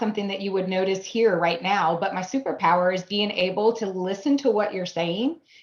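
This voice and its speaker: Noticeable background noise runs under the recording. A woman talks at a medium pitch and a fairly quick pace. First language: German. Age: 40s. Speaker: AI business consultant, new network member. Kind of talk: video interview introduction.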